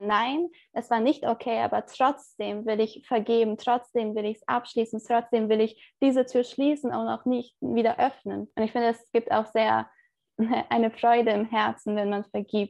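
Here is an ordinary speaking voice from a woman, fairly high in pitch. She keeps a moderate pace and fairly even intonation. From Turkey. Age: 20s. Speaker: theology student. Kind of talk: interview.

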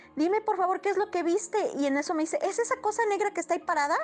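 A woman talks at an extremely high pitch. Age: 30s. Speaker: storyteller sharing paranormal experiences. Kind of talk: personal storytelling. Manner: halting.

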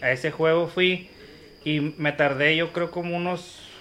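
A man speaks in a plain, everyday voice. His pace is fairly slow and his pitch fairly high. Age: 30s. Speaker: football fan, barra member. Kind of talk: casual chat.

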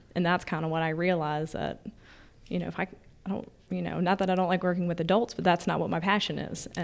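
A woman's fairly low voice with vocal fry, monotone, flat intonation and a very fast pace. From Virginia, rural Verona. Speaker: construction business development manager. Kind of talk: casual interview.

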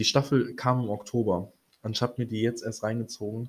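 Monotone, flat intonation from a man, fairly low in pitch, at a moderate pace. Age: 20s. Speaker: podcast host. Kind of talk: casual monologue. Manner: hesitant, many fillers.

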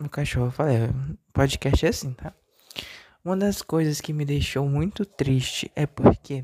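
A man with a dark, mellow tone talks at a fairly slow pace with long, frequent pauses and ordinary pitch variation, in a dry, close sound with no echo. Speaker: solo podcaster. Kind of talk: personal monologue. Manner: deliberately lower, not forced pitch.

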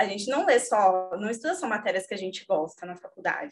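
This is an unremarkable speaking voice with lively intonation, moving at a moderate pace. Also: woman. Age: 30s. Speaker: lawyer and book club member. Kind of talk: casual chat.

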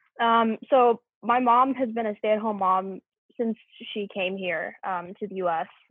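A woman with an ordinary speaking voice talks at a fairly slow pace, her fairly high pitch carrying fairly even intonation. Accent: American. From US South, Memphis, Tennessee. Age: 20s. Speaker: university student. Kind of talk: casual chat.

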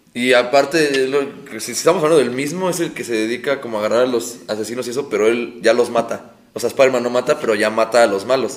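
Speaking at a very fast pace, a man uses a medium pitch with ordinary pitch variation. Noticeable background noise runs under the recording. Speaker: guest co-host. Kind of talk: casual chat.

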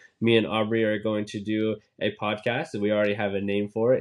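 In an ordinary speaking voice, a man moves along at a fairly quick pace. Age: 20s. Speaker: sports podcast host. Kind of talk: casual chat.

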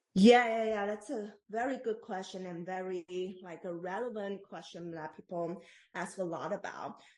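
A moderate pace, ordinary pitch variation and a Taiwanese accent. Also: woman. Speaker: postdoctoral researcher in ethics. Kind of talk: interview. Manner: halting.

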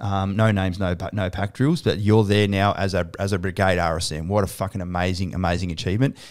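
Very deep, low male voice in an Australian accent, very fast and with hardly any pauses, in a very clean recording against a silent background. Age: 40s. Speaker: podcast host, army veteran and company CEO. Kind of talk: casual interview. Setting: studio with cameras. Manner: loud; animated.

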